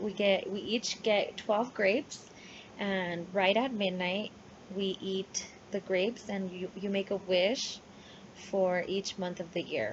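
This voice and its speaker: A woman speaks very slowly at a medium pitch. Her intonation is monotone and flat, and her voice is somewhat breathy. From New Mexico, US (Las Cruces), Mexican-American family. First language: Spanish. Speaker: university student. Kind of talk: class presentation video, personal talk. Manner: casual with hesitations.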